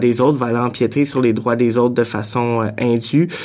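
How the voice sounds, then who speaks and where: A man talks at a moderate pace in a monotone, flat intonation. Noticeable background noise is heard behind him. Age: young. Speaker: director of a student association. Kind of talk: radio panel discussion. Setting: studio.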